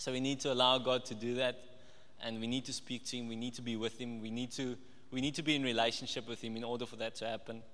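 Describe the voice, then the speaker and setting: Speaking at a very fast pace, a man with a medium pitch delivers flat, monotone intonation in a bright, sharp tone, with audible room echo. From Namibia. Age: 20s. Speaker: trainee accountant giving a church sermon. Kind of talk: sermon. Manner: hesitant, with many fillers and repetitions.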